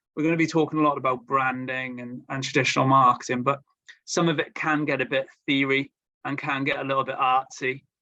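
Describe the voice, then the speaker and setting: In a Welsh accent, a man speaks at a fairly quick pace with monotone, flat intonation. His tone is bright and sharp, and his pitch is fairly high. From Wales. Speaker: marketing agency representative. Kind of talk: webinar presentation. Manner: hesitant, many fillers and repetitions.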